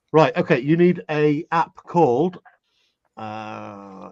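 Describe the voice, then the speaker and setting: The intonation is lively, with an English accent and a fairly slow pace. The sound is dry and close, with no echo. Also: man. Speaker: participant in an online group call. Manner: playful, theatrical.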